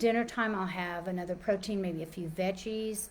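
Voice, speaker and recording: In a normal speaking voice, a woman speaks with an American accent at medium pitch. Her intonation is fairly even and her pace moderate. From Texas, Dallas. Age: 60s. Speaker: personal trainer and life coach. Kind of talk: informal talk / webinar presentation. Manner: casual, with many fillers and restarts.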